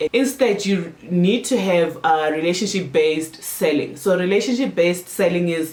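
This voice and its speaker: The voice has an animated tone with hardly any pauses. Noticeable background noise runs underneath. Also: moderate pace. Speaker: marketing consultant and YouTuber. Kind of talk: tutorial.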